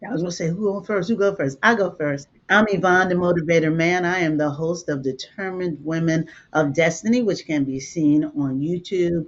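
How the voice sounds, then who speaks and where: In an ordinary speaking voice, a woman with fairly low pitch talks at a moderate pace with ordinary pitch variation and hardly any pauses. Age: 60s. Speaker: life coach and motivational speaker. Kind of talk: casual chat.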